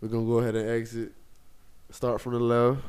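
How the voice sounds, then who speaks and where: Medium pitch from a man. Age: 20s. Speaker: podcast host. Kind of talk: casual chat. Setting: studio. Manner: animated.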